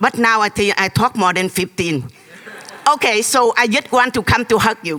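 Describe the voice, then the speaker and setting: Noticeable background noise sits behind this animated voice. The speaker talks with a Vietnamese accent. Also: moderate pace. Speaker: audience member, former refugee and nurse. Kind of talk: emotional testimony.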